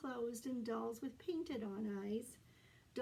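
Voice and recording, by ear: The clip is reading aloud in a natural voice. Pitch variation is ordinary.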